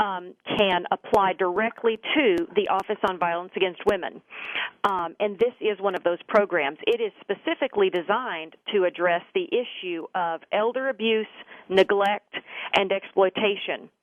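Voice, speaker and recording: In a Texas accent, a woman speaks at a medium pitch. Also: ordinary pitch variation, moderate pace. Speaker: government official, former prosecutor. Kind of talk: interview.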